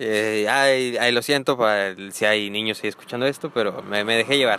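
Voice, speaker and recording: A man speaks in a fairly low pitch. His intonation is fairly even. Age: 20s. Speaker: marketing professional. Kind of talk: casual chat.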